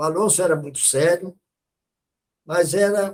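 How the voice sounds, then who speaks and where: Here a man speaks with a high pitch and ordinary pitch variation. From Brazil, interior of Minas Gerais. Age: 80s+. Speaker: physiatrist, retired physician. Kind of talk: testimony.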